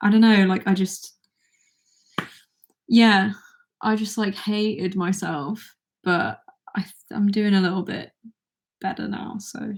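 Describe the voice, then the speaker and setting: A woman with a British accent speaks quietly at a medium pitch, her voice somewhat breathy. Her intonation is fairly even, and she talks at a fairly slow pace with long, frequent pauses. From Britain. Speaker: YouTuber. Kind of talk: livestream Q&A. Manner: halting.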